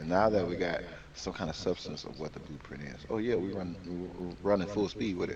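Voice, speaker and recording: A man speaks with an American accent, his tone animated and his intonation lively. Noticeable background noise runs behind him. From Chicago, US Midwest. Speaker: podcast co-host, sports segment presenter. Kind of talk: casual podcast chat with sports rundown.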